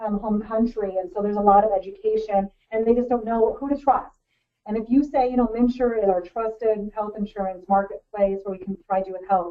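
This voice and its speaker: Her loudness swings widely as a woman speaks at a fairly quick pace, with fairly high pitch and fairly even intonation. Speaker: outreach director presenting a webinar. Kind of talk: webinar presentation. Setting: webinar call. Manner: fast.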